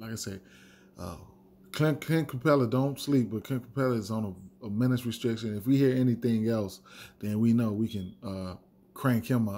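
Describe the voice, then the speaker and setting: A dark, mellow voice with an American accent at a moderate pace, with ordinary pitch variation and long, frequent pauses. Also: man, medium pitch for a man. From Chicago. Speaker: sports betting and fantasy sports video host. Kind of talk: solo fantasy sports picks talk. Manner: casual, many fillers and repetitions.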